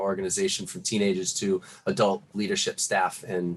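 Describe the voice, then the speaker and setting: A man speaks with a Boston accent at a fairly quick pace. His pitch variation is ordinary. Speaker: youth nonprofit leader. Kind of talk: video call presentation. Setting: video call.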